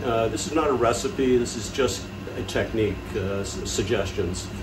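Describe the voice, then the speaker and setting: A man at a moderate pace with ordinary pitch variation, amid noticeable background noise. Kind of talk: tutorial. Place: kitchen. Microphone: phone near.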